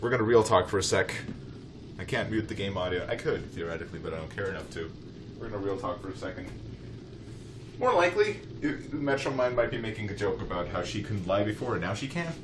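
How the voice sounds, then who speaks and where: Amid noticeable background noise and audible room echo, a man with a fairly low pitch rushes along at a very fast pace with lively intonation, broken by long, frequent pauses. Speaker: let's play gamer. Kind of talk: casual gameplay commentary.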